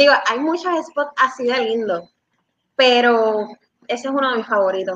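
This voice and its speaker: This woman's pitch is high and has ordinary variation. She talks in a raised, projected voice. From Puerto Rico (Bayamón, Dorado). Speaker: CrossFit coach. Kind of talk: live-stream interview.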